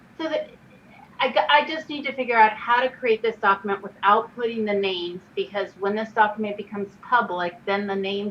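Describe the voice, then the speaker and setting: Fairly quick, fairly high-pitched speech from a woman amid noticeable background noise. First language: not English. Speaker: redistricting commissioner. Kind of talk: public meeting discussion.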